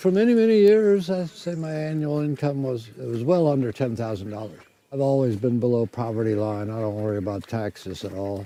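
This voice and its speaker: Hardly pausing, a man with an American accent speaks in a dark, mellow tone with lively intonation. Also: medium pitch for a man, fairly quick pace. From US Midwest, Detroit. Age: 80s+. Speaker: off-grid homesteader. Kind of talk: interview.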